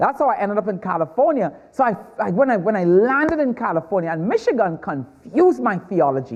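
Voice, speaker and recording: The speaker talks at a very fast pace with hardly any pauses, in a Trinidadian accent. The pitch swings very widely. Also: man, high pitch for a man. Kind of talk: stand-up.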